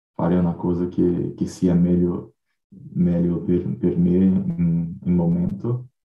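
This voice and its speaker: A man speaks with a very deep, low pitch. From Brazil. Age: 20s. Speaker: language learner. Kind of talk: casual group conversation practice. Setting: video call. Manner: halting.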